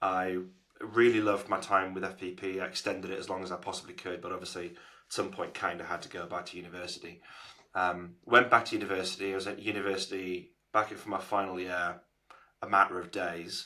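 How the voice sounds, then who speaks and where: A man with a Geordie accent, a very deep, low pitch and a bright, sharp tone, at a very fast pace with monotone, flat intonation and big swings in loudness. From northern England, Newcastle. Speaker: agency founder. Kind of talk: podcast interview.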